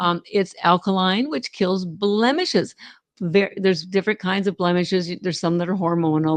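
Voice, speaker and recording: A woman's fairly low voice at a moderate pace with ordinary pitch variation, in a dry, close sound with no echo. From Canada. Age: 60s. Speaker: company founder. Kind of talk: interview. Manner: halting, many fillers.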